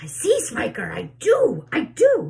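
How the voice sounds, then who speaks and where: A female-sounding put-on character voice. It moves at a fairly slow pace. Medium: read story.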